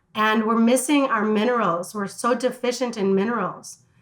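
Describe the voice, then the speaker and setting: With an American accent, a woman speaks in an animated tone at a fairly high pitch, her pitch varying in an ordinary way. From US Midwest, Chicago. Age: 60s. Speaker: wellness entrepreneur. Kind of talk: interview.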